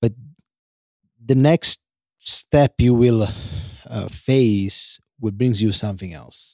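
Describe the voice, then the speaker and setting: In an Italian accent, a man speaks at a very slow pace and medium pitch with a dark, mellow tone, long, frequent pauses and big swings in loudness, the sound dry and close with no echo. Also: ordinary pitch variation. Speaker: host's partner giving advice. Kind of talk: casual chat. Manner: halting.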